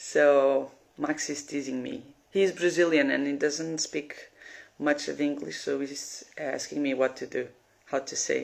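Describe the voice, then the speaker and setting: A woman speaks with a Portuguese accent. Her pace is fairly slow. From Portugal. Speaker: piercer. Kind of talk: live stream Q&A. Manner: halting.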